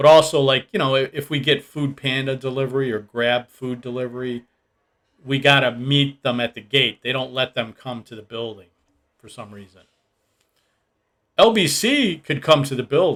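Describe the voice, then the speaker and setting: With an American accent and an unremarkable speaking voice, a man talks at a moderate pace and medium pitch. His pitch varies in an ordinary way while his loudness swings widely. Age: 60s. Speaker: expat video blogger. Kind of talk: casual vlog talk. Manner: casual, rambling with fillers.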